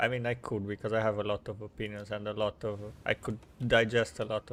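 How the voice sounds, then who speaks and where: A man with a Romanian accent and a fairly low pitch for a man speaks at a moderate pace. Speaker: video game streamer. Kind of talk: casual live-stream chat. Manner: halting, with many fillers and restarts.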